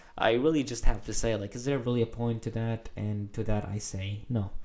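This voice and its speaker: This man has a dark, mellow tone and talks with a non-native accent. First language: not English. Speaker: gaming video essayist. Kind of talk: casual monologue. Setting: recording at home late at night. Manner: hesitant, many filler words.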